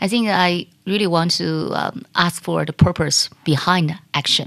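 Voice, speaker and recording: A woman with a Chinese accent speaks at a fairly slow pace. Her voice is fairly low, with ordinary pitch variation. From China. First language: Mandarin Chinese. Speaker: corporate executive and investor. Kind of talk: interview.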